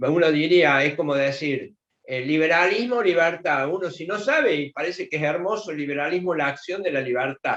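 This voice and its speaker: A man's fairly high, an ordinary speaking voice, moderate in pace with ordinary pitch variation. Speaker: museum director, historian. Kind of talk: lecture-style talk in online class.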